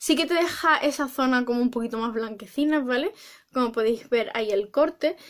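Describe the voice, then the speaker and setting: Over a quiet background, a woman with a high voice talks in an animated tone at a fairly quick pace. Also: ordinary pitch variation. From Spain. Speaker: beauty vlogger. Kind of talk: makeup product review; casual tutorial product review. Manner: hesitant, filler-heavy. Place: home room. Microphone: phone near.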